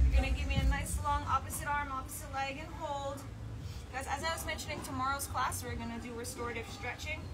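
Music plays behind a woman who speaks at a moderate pace. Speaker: fitness instructor. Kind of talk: workout class instruction. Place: garden. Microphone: camera far.

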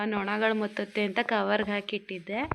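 This woman speaks with flat intonation. Her delivery stays monotone throughout. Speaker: family vlogger. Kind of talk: vlog narration.

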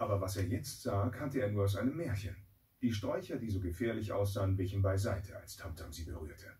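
A man's fairly low, somewhat breathy voice with a dark, mellow tone, ordinary pitch variation and a fairly quick pace. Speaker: voice actor. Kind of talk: children's audiobook reading. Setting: studio. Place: booth.

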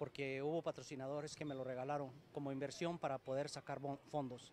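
A man's fairly high voice at a fairly quick pace, dry with no echo, over light background noise. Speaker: amateur football team founder. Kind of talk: interview. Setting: sports complex. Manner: halting. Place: hall. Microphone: poor live stream signal; handheld.

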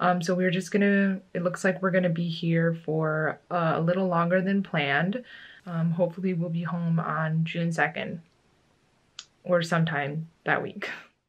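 A woman speaks at a moderate pace in a fairly low, somewhat breathy voice. Her intonation stays flat and monotone. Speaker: vlogger. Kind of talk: casual vlog chat. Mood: calm, slightly resigned. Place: home room. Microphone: phone near.

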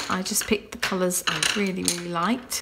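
A woman talks with ordinary pitch variation. Light background noise is present. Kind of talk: casual vlog chat. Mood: relaxed, calm.

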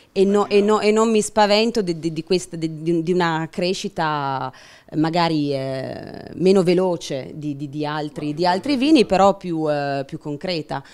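A woman at a moderate pace with ordinary pitch variation. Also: fairly low pitch for a woman. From Piedmont, Italy. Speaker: winemaker; panelist. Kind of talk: panel talk. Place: meeting room. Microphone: handheld.

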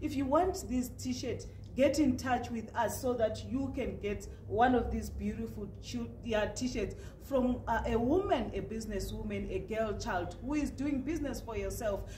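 A woman's voice at a fairly slow pace, with light background noise and audible room echo. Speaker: news interviewer. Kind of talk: interview host talk. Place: studio.

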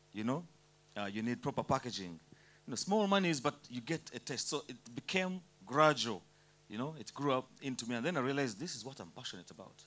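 A man talking at a fairly quick pace, with big swings in loudness. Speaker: speaker. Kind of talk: panel talk / motivational speech. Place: hall. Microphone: handheld.

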